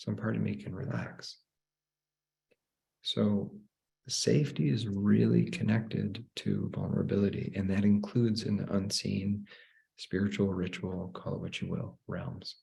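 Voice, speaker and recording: Speaking at a fairly slow pace, a man uses lively intonation, a fairly low pitch, vocal fry, and a dark, mellow tone. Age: 40s. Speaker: spiritual teacher. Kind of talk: live online teaching.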